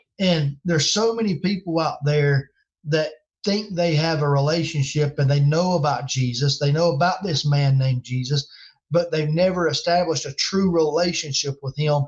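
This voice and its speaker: In a Southern US accent, a man talks at a moderate pace with a fairly high pitch. His voice is somewhat breathy, with ordinary pitch variation. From North Carolina. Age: 40s. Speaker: game call maker and evangelist. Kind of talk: casual interview chat.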